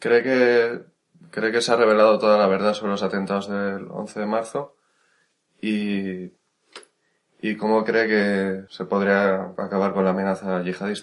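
Long, frequent pauses break up a man's fairly slow delivery, which stays fairly low in pitch with monotone, flat intonation. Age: young. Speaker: podcast interviewer. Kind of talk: interview.

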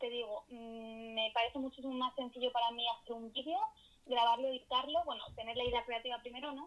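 Her high-pitched voice moves at a fairly quick pace, and this woman keeps her intonation fairly even. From Spain, Madrid. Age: 20s. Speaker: youtuber and content creator. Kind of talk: casual interview.

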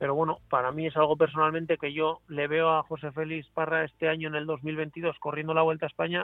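The speech moves at a fairly quick pace with hardly any pauses and a monotone, flat intonation. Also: man, fairly high pitch for a man. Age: 40s. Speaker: cycling team sports director. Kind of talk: casual interview.

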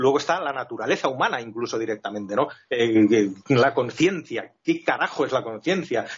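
With hardly any pauses, a man talks using lively intonation. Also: medium pitch for a man. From Finland and Spain. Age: 50s. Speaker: flight attendant, new co-host. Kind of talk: casual interview. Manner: fast, rushed.

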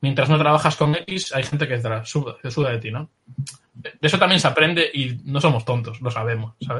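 With a bright, sharp tone, a man speaks at a fairly high pitch with ordinary pitch variation. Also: moderate pace. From Galicia, Spain (Pontevedra). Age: 30s. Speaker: illustrator. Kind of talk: interview.

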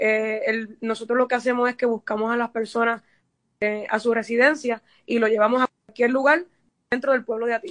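A woman's fairly high pitch in monotone, flat intonation, at a moderate pace, with a dry, close sound and no echo. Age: 30s. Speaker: mayoral candidate, accountant. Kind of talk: radio interview. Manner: hesitant, many fillers.

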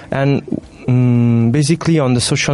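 A man with an Italian accent speaks at a medium pitch with ordinary pitch variation over noticeable background noise. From Italy. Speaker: student radio presenter. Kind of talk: casual chat. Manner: halting.

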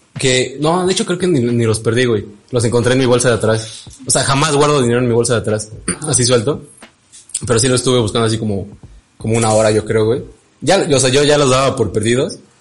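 A man talks very fast at a medium pitch with ordinary pitch variation and very even loudness, broken by long, frequent pauses. Audible room echo and noticeable background noise fill the recording. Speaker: podcast co-host. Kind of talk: casual chat.

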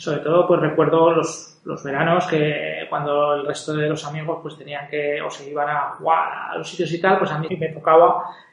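Noticeable background noise and audible room echo surround a man talking at a fairly high pitch. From Spain, Zaragoza (Aragon). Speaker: podcast host, entrepreneur. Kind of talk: solo monologue podcast intro. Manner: hesitant with many fillers.

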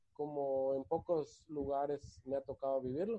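A man talks in a plain, everyday voice. His pitch is fairly high and his pace fairly slow. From Mexico, Guadalajara then Mérida (Yucatán). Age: 30s. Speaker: singer-songwriter and former amateur footballer. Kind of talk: casual chat.

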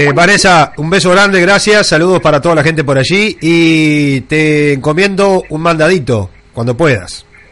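A man speaks in a Uruguayan accent at a moderate pace. His pitch is fairly high and his intonation lively. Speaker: radio host. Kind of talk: radio interview.

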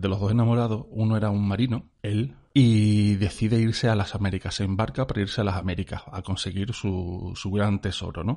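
Against a quiet background, a man with a plain, everyday voice speaks at a fairly low pitch and a fairly quick pace. His intonation stays fairly even and he hardly pauses. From Spain, Cádiz. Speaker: podcast co-host. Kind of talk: casual chat.

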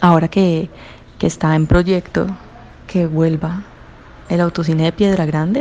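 A moderate pace with a Cali accent, fairly even intonation, and noticeable background noise. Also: woman. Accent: Caleño Colombian Spanish. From Colombia, Cali. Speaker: interviewee sharing memories. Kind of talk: personal recollection.

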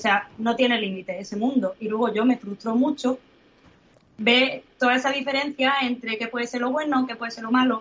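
Her intonation is fairly even and her pitch high. This woman talks at a moderate pace. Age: 30s. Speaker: comic artist. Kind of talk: interview.

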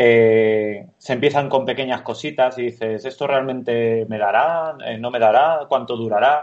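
With hardly any pauses, a man talks at a fairly slow pace in an ordinary speaking voice of medium pitch. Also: fairly even intonation. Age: 30s. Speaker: architect, studio co-founder. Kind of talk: interview.

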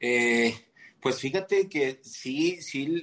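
With a Mexican accent, a man speaks at a medium pitch. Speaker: fitness coach and physique competitor. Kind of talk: casual chat. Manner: halting, many repeated words.

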